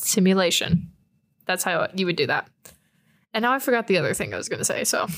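Speaking with an American accent at a very fast pace, a woman of medium pitch uses ordinary pitch variation and long, frequent pauses, on a very clean recording with a silent background. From Texas, San Antonio. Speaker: student podcast co-host. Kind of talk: casual chat. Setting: student newspaper office.

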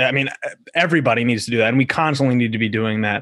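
A man with an American accent speaks very fast at a medium pitch with fairly even intonation over a quiet background. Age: 20s. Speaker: podcast host. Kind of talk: casual interview.

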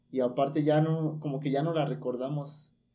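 A man's fairly high-pitched voice with a dark, mellow tone and fairly even intonation. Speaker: communication student. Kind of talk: casual chat.

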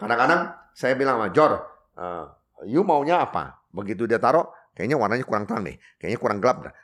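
Very wide pitch swings run through a man's speech at a fairly quick pace. The recording is very clean, with a silent background. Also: medium pitch for a man. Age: 60s. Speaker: coffee shop owner. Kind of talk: interview. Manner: halting.

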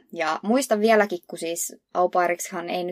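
The sound is dry and close, with no echo. A woman speaks with vocal fry and ordinary pitch variation. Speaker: podcast co-host. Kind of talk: casual chat.

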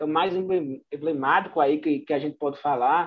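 A man at a fairly quick pace. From Bahia, Brazil (interior). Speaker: radio sports reporter. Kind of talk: casual chat. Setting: video call.

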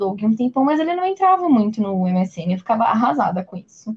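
The pace is fairly quick. The delivery sounds somewhat breathy. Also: woman. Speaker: podcast host. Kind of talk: casual chat.

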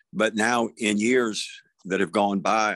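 A man with a Southern US accent talks at a fairly slow pace in a fairly low pitch. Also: dry, close sound with no echo, very clean recording, silent background. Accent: Southern US (Georgia). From US South. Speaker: songwriter. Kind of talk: casual chat.

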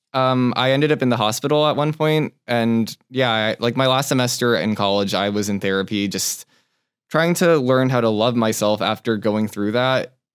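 Male voice of medium pitch in a Californian accent, with ordinary pitch variation. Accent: Californian American English. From Southern California (Torrance). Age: 20s. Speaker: cooking competition contestant. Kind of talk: casual interview chat.

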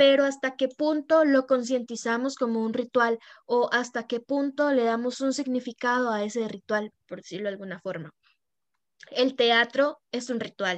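A woman speaks at a high pitch and moderate pace, with ordinary pitch variation. The sound is dry and close with no echo, and the background is quiet. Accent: Costa Rican. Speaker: podcast co-host, tarot reader. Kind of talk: casual chat.

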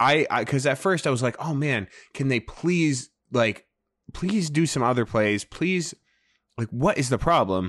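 Against a quiet background, a man with an unremarkable speaking voice talks at a fairly slow pace, medium in pitch, with lively intonation. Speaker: fantasy football podcast co-host. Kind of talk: casual chat. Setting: remote recording, hosts in different places.

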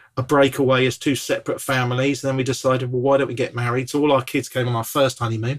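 A man speaks in a medium pitch with a southern English accent. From southern England, Bournemouth. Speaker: evangelist. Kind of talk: casual chat. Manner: animated.

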